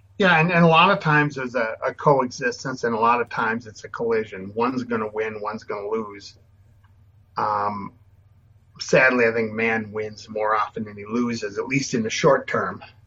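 A man with an ordinary speaking voice and an American accent, medium pitch, ordinary pitch variation, a moderate pace and big swings in loudness. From Minnesota. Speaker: landscape photographer, former photojournalist. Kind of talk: interview.

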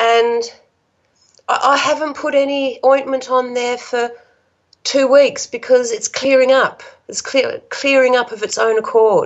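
A woman with an Australian accent and a high pitch speaks at a fairly slow pace in a monotone, flat intonation. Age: 50s. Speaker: support worker sharing health recovery story. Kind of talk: casual interview, personal story.

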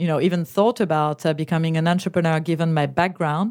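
The speaker talks at a fairly quick pace with a French accent. Intonation stays fairly even on a very clean recording with a silent background. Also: woman. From France. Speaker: startup founder and CEO. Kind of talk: interview. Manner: hesitant with many fillers.

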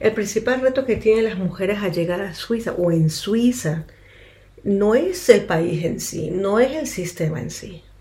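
Speaking at a fairly slow pace, a woman with a somewhat breathy, dark, mellow tone and medium pitch uses lively intonation and big swings in loudness. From Ecuador, Quito. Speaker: interpreter and counselor. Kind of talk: radio interview.

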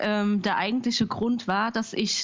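A woman's medium-pitched voice at a very slow pace. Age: 30s. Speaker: small business founder. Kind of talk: interview. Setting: Skype call. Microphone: possible crackle and hiss on Skype line.

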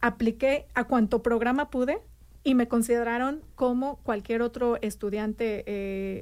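The recording is very clean, with a silent background. A woman speaks at a fairly slow pace in a high voice, her intonation fairly even. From Mexico City. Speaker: city community outreach coordinator. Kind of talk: radio interview.

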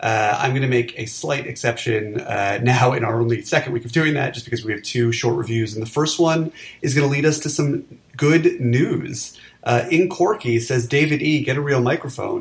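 Somewhat breathy at a medium pitch, a man with an American accent speaks at a moderate pace with ordinary pitch variation. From New York City. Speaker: podcast host, film critic. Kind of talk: casual banter podcast about movies. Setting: home recording, remote.

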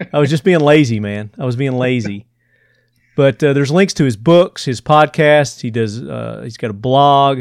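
A man with a Southern US accent at a medium pitch, moderate pace and ordinary pitch variation, in a very clean, dry, close recording with no echo and a silent background. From Tennessee, US South. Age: 50s. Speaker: podcast host. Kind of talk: casual interview chat.

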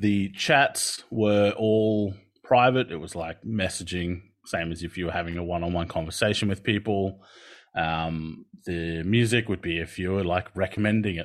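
A man's very deep, low voice in an Australian accent, at a moderate pace over a quiet background. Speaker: occupational therapist and lecturer. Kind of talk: keynote presentation.

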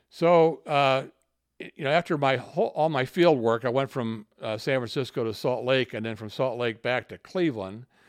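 A man with an ordinary speaking voice talks at a moderate pace and medium pitch, with ordinary pitch variation. His loudness swings widely, and the sound is dry and close with no echo. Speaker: retired company executive. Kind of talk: casual interview. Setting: at home.

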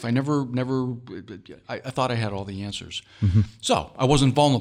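Against a silent background on a very clean recording, a man speaks with lively intonation at a medium pitch. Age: 60s. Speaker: leadership author and executive coach. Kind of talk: interview. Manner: halting, with many fillers and repetitions.

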